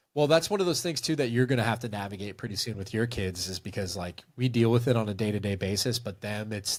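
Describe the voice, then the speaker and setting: A normal speaking voice from a man, fairly low in pitch, with ordinary pitch variation and a fairly quick pace over a very clean recording and silent background. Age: 40s. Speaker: movie review video creator. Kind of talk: casual interview chat on a livestream.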